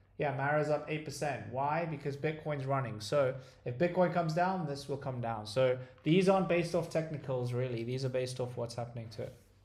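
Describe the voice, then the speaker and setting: Amid noticeable background noise and audible room echo, a man talks at a fairly quick pace, his fairly high voice showing ordinary pitch variation. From South Africa, raised in Dubai. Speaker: stock trading streamer. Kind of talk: live trading stream.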